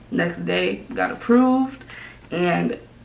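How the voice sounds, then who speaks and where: A woman with an American accent is heard with audible room echo and noticeable background noise. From Minnesota. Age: 20s. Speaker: YouTuber. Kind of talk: casual vlog talk to camera. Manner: fast; animated.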